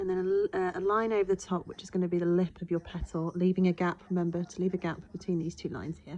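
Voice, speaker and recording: A woman with a British accent, fairly low pitch, flat monotone intonation, a very fast pace and hardly any pauses. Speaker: art teacher. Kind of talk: tutorial.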